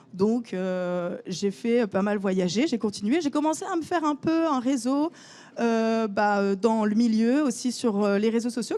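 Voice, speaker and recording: A woman with a fairly high pitch and lively intonation talks at a fairly slow pace. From northern France, Lille. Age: 20s. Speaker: photographer. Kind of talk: conference talk. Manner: hesitant, many fillers.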